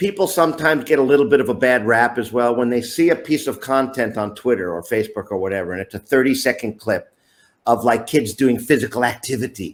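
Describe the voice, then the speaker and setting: An unremarkable speaking voice with an American accent moves at a fairly quick pace. The intonation is lively, and the recording is very clean with a silent background. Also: man. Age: 60s. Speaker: youth soccer coach. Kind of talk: interview.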